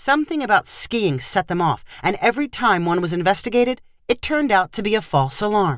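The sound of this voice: Intonation is lively in this unforced reading voice.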